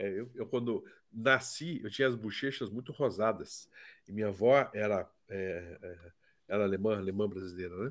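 Recorded very cleanly against a silent background, a man talks at a fairly low pitch. His pace is moderate, with ordinary pitch variation. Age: 60s. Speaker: psychotherapist. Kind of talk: casual chat.

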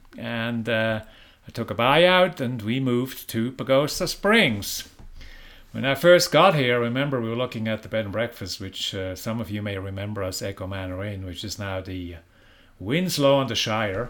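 Using lively intonation and big swings in loudness, a man of medium pitch speaks at a moderate pace with a Swiss accent. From Switzerland. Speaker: prison minister. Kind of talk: interview. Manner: casual.

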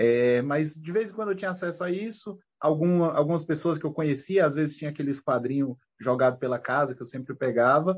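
Somewhat breathy and fairly quick, a man speaks at a fairly high pitch with ordinary pitch variation. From Brazil, Federal District (Ceilândia, Brasília). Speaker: comic book writer and teacher. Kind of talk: casual interview.

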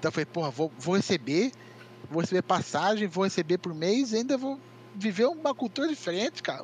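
This man's high voice moves at a fairly quick pace through very wide pitch swings. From Brazil, São Paulo state (Itu). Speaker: esports media figure. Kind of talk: casual chat. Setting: online call.

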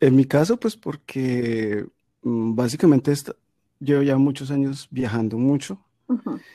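This man's voice has a dark, mellow tone at medium pitch, with ordinary pitch variation and a fairly slow pace. The sound is dry and close with no echo, on a very clean recording with a silent background. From Colombia, Medellín. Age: 40s. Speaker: podcaster. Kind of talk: casual interview.

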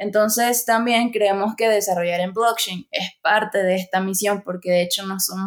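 A woman's medium-pitched, unremarkable speaking voice at a moderate pace. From Venezuela. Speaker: online education course director. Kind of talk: casual interview.

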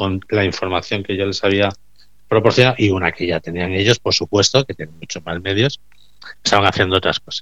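A man talks in a fairly low pitch with a bright, sharp tone. His intonation stays fairly even against a quiet background. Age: 50s. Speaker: recycling business owner. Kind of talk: radio interview.

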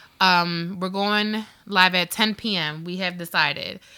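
A loud woman's voice at medium pitch, bright and sharp in tone, with ordinary pitch variation, on a very clean recording over a silent background. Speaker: podcast co-host. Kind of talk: casual chat. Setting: studio.

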